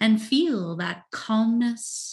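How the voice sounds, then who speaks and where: Over a quiet background, a somewhat breathy voice speaks in a soothing tone. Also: woman. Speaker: meditation guide and coach. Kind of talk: guided hypnosis-style meditation. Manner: slow, soothing, hypnotic cadence; soft, gentle, calm.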